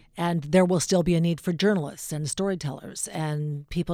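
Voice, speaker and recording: Over a silent background in a very clean recording, a woman speaks with a very deep, low pitch, a dark, mellow tone and fairly even intonation. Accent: Canadian. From Alberta, Canada. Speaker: radio talk show host. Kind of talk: casual interview. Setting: studio.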